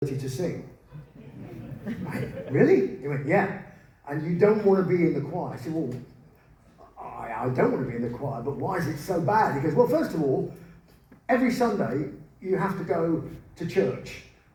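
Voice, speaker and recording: Over noticeable background noise, a man with a fairly high pitch talks at a moderate pace with lively intonation and long, frequent pauses. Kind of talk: live spoken word storytelling. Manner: humorous, anecdotal.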